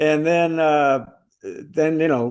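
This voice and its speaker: A man at a very slow pace over a quiet background. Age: 70s. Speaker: retired singer, music program creator. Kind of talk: interview. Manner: halting, many fillers.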